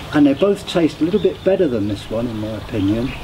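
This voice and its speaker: Talking very fast, a man swings his pitch very widely over noticeable background noise. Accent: British. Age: 70s. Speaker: beer reviewer, vlogger. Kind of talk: casual product review. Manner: halting with fillers.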